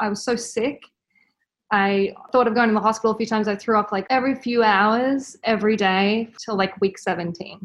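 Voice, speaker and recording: Here a woman with an Australian accent speaks at a moderate pace, her fairly high pitch held in fairly even intonation. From Australia, Brisbane. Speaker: mother sharing birth story. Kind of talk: interview.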